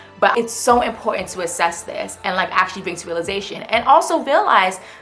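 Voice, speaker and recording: Very fast and animated, a woman speaks with music playing in the background. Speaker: self-help YouTuber. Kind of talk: motivational vlog talk.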